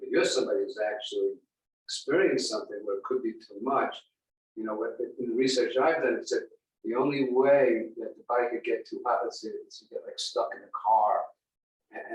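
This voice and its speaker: A man speaks at a fairly quick pace. His loudness swings a lot. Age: 60s. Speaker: chiropractor. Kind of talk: class discussion.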